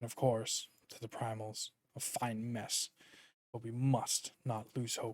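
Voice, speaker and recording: A man uses a put-on character voice at a medium pitch, talking at a fairly slow pace in a flat monotone with big swings in loudness, the sound dry and close with no echo. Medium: game stream. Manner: earnest, formal.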